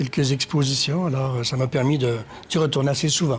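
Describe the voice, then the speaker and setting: The speaker is a man at medium pitch. His intonation stays fairly even. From Quebec, Magdalen Islands and Quebec City. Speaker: painter and sculptor. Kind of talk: interview. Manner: hesitant, many fillers.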